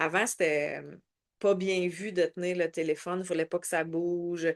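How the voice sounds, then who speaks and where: A woman at medium pitch speaks at a fairly slow pace in a dry, close sound with no echo and a quiet background. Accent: Quebec. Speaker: network marketing team leader. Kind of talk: online training session. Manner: loud.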